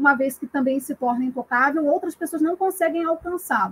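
A woman's high voice carries ordinary pitch variation in a dry, close sound with no echo. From Rio de Janeiro. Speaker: history graduate, film buff. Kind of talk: film discussion, analytical. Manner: formal.

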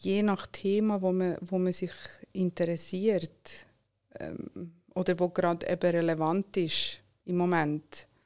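A woman with a Swiss accent speaks very slowly in a fairly low, flat, monotone voice. The recording is very clean, with a silent background. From Switzerland, Solothurn. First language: not German, learned German at five (speaking German). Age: 30s. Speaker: entrepreneur. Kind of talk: interview.

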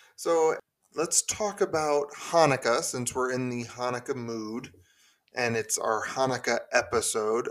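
Delivered at a fairly slow pace, this is a plain, everyday voice whose pitch varies in an ordinary way. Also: man. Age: 30s. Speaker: podcast host. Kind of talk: casual chat.

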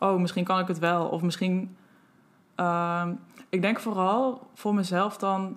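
Very slow speech from a woman at medium pitch, with long, frequent pauses, very even loudness and fairly even intonation. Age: 20s. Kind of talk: interview. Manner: hesitant.

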